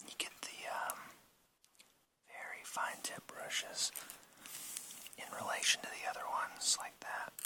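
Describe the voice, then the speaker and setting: Someone whispers over noticeable background noise. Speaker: ASMR creator. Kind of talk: whispered show and tell. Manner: whispered.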